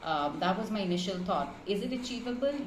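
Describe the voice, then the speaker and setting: With noticeable background noise, a woman speaks at a moderate pace using ordinary pitch variation. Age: 30s. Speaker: marketing professional. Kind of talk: client testimonial. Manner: casual, with many fillers.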